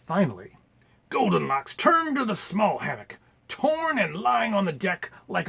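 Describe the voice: Someone is doing plain reading aloud in this recording.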